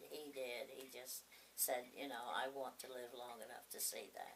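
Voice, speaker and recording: In a room with audible echo, a woman speaks with a very deep, low pitch and monotone, flat intonation. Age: 80s+. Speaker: grandmother. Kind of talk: oral history interview. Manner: halting.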